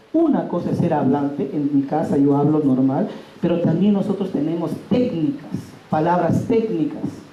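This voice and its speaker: Over noticeable background noise and audible room echo, a man with a high voice speaks at a moderate pace with lively intonation and very even loudness. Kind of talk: workshop talk. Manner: loud, emphatic.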